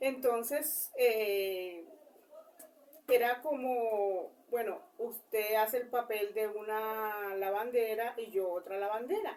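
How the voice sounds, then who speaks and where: Very slowly, a woman speaks in a fairly high voice with fairly even intonation. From Colombian Caribbean coast, Cesar. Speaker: interviewee. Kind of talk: interview. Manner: halting, many fillers.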